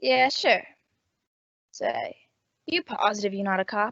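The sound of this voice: A woman's put-on character voice at a slow pace and medium pitch, fairly bright in tone with vocal fry and lively intonation, in a dry, close sound with no echo.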